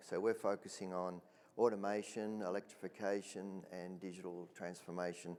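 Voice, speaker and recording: This man talks at a moderate pace with an Australian accent. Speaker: mining equipment executive. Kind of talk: panel discussion.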